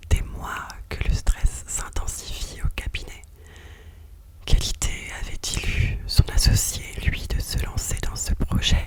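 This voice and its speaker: A woman whispers at a very slow pace, with long, frequent pauses. Noticeable background noise runs underneath. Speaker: ASMR creator. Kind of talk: whispered bedtime story reading. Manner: whispered, soft.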